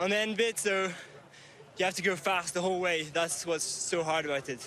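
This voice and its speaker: Through noticeable background noise, a high-pitched man talks at a fairly quick pace with fairly even intonation. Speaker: cross-country skier. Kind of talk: post-race interview.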